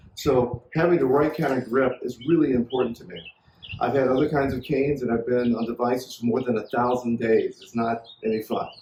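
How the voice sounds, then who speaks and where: Noticeable background noise beneath fairly quick speech. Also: man, medium pitch for a man. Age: 60s. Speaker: inventor demonstrating his product. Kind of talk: product demonstration tutorial. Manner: enthusiastic, salesy.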